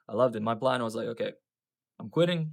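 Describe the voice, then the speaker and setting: Speaking at a very fast pace with a Russian accent, a man keeps a medium pitch and ordinary pitch variation. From Russia, port city; moved to New Zealand at 15. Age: 30s. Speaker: business owner. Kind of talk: personal vlog storytelling. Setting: outdoors.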